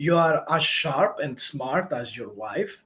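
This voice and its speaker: With lively intonation, a man speaks in a non-native accent. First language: not English. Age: 30s. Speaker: YouTuber giving life advice. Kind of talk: live Q&A monologue. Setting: livestream. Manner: halting, many filler words.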